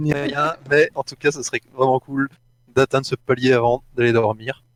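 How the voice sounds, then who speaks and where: A man's medium-pitched voice with a slight Belgian accent, flat and monotone at a fairly slow pace, in a dry, close sound with no echo. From Belgium, Brussels. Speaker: gaming streamer, video assistant. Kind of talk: casual chat.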